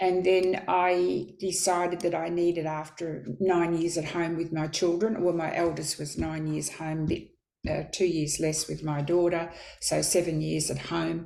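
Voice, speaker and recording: A woman with an Australian accent speaks at a fairly slow pace in a monotone, flat delivery, her fairly low pitch carrying a dark, mellow tone against audible room echo. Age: 70s. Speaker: midwife. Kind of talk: interview.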